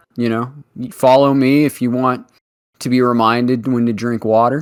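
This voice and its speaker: A man with an American accent talks at a moderate pace in a medium pitch. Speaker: streamer. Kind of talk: casual chat. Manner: animated.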